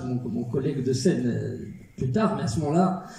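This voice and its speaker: A man talks with lively intonation at a moderate pace, with audible room echo and noticeable background noise. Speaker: actor and filmmaker. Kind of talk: film premiere Q&A.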